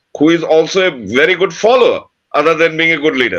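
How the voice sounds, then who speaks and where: In an Indian accent, a man speaks with ordinary pitch variation. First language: Bengali. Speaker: podcast co-host. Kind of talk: casual chat.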